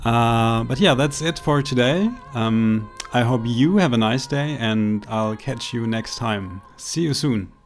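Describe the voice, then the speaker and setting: Over music in the background, a man with a non-native accent and medium pitch speaks at a fairly slow pace with ordinary pitch variation. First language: not English. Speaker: gaming commentator. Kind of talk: gameplay commentary. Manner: hesitant, many fillers.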